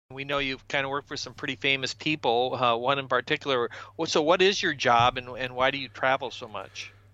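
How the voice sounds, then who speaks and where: A man at medium pitch, an ordinary speaking voice, fairly even intonation and a fairly quick pace. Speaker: podcast host interviewing guest. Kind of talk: casual interview chat.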